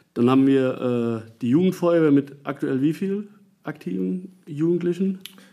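Here a man talks at a fairly slow pace. His voice is fairly high in pitch, with a dark, mellow tone. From Nassau, Rhineland-Palatinate, Germany. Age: 40s. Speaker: volunteer fire chief. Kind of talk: interview. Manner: hesitant, many filler sounds.

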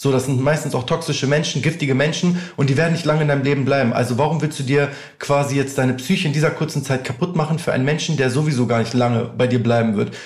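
At a very fast pace, a man speaks in a fairly high pitch with fairly even intonation, amid audible room echo. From northern Germany, near Hannover. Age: 20s. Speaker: music artist manager. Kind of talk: casual interview.

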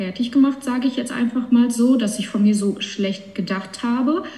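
Noticeable background noise behind a fairly high-pitched woman's voice. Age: 20s. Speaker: cancer patient, bank clerk. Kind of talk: casual chat.

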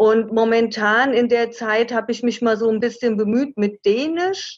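Speaking at a fairly slow pace, a woman has an ordinary speaking voice. Her pitch is fairly high, with ordinary variation. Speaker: travel author. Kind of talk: interview.

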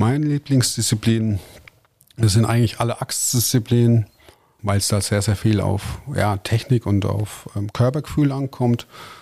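With a plain, everyday voice, a man delivers his words fairly slowly and in fairly even intonation. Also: medium pitch for a man. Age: 30s. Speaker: forestry worker and competitive lumberjack athlete. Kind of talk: casual interview.

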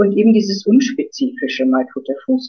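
Her pitch swings very widely. The woman's voice also carries vocal fry. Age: 50s. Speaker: author and former midwife. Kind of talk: interview.

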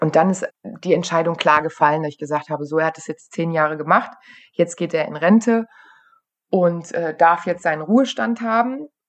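This is a woman with an unremarkable speaking voice and a fairly low pitch. She talks at a moderate pace with ordinary pitch variation and big swings in loudness. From western Germany, Aachen area. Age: 30s. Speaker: rescue dog handler and trainer. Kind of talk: interview.

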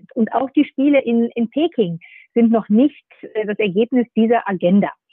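In a plain, everyday voice, a woman with a fairly high pitch speaks at a moderate pace with lively intonation. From northern Germany, Nordhorn (Lower Saxony). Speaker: sports federation executive. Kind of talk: interview. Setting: remote line.

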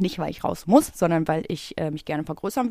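Lively intonation marks this woman's dark, mellow tone. She keeps a moderate pace on a very clean recording with a silent background. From Ruhr area, Germany (Bottrop). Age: 30s. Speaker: podcast co-host, tattoo artist. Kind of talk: casual chat.

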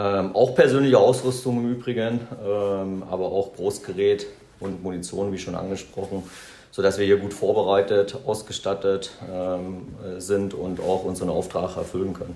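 Against noticeable background noise, a man talks at a moderate pace with a fairly low pitch. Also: fairly even intonation. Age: 40s. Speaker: army officer. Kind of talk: interview. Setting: on location at military base. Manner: halting, many filler sounds.

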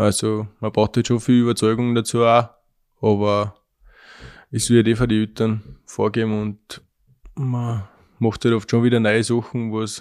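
At a moderate pace, a man speaks in monotone, flat intonation at a medium pitch on a very clean recording with a silent background. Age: 20s. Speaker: young dairy farmer. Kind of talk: interview. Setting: farmhouse kitchen.

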